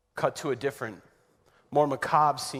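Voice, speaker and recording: On a very clean recording with a silent background, a man with a fairly high-pitched voice talks at a moderate pace. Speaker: spoken word poet. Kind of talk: spoken word poetry performance, church Good Friday retelling.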